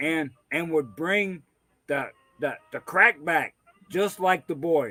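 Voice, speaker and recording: With music in the background, a man with a high pitch talks at a very slow pace, leaving long, frequent pauses. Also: ordinary pitch variation. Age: 60s. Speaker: livestream host. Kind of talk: casual chat. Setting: livestream from a man cave at a party. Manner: halting, repeats words.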